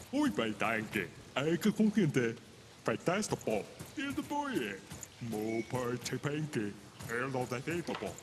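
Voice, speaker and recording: Against clear background noise, a man uses a put-on character voice at a medium pitch, keeping a moderate pace with long, frequent pauses. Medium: video game. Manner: garbled pseudo-foreign babble.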